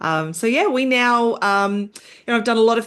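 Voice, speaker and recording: A woman with an Australian accent at a fairly quick pace, with lively intonation and a quiet background. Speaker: entrepreneur, software founder. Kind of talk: podcast interview. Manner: halting, with fillers and false starts.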